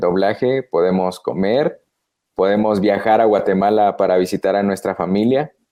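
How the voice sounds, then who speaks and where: A man with a fairly low pitch and ordinary pitch variation uses an ordinary speaking voice. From Guatemala. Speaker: voice actor. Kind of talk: interview answer.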